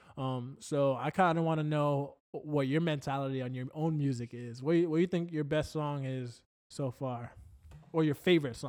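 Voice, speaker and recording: In an unremarkable speaking voice, a man with an American accent talks at a moderate pace, his fairly high pitch carrying fairly even intonation. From Florida. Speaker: podcast co-host. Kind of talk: casual chat.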